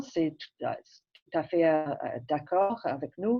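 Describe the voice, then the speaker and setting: With an English accent, a woman speaks at a very slow pace using ordinary pitch variation. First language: English (speaking French). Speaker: public health physician. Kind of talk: presentation introduction. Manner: halting.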